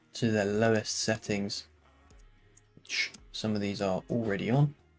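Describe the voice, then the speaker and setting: Music plays in the background while the talking proceeds at a fairly slow pace. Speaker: game development tutorial creator. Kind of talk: tutorial. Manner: casual, with fillers.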